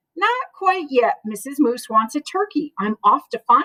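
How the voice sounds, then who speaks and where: In a put-on character voice, a woman speaks high-pitched at a moderate pace, her tone warm and gentle, her pitch swinging very widely, the sound dry and close with no echo. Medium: read story. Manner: warm, gentle.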